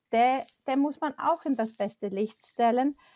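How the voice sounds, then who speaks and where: With an Icelandic accent, a woman speaks at a fairly slow pace. The recording is very clean, with a silent background. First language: Icelandic (speaking German). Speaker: professional photographer. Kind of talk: casual interview.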